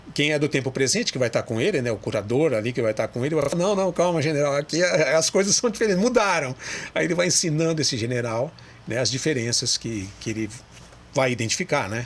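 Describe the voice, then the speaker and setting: Over noticeable background noise, a man races along at a very fast pace, his fairly high pitch shaped by lively intonation. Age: 60s. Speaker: radio broadcaster and amateur historian. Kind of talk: interview. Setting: TV studio.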